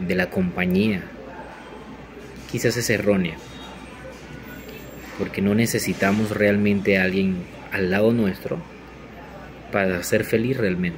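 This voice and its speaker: Music plays behind a man speaking at a fairly slow pace with long, frequent pauses. His pitch is fairly low and his intonation fairly even. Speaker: commercial voice-over announcer and social communicator. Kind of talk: motivational podcast talk. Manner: reflective, encouraging. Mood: calm, reflective. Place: home room. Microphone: phone near.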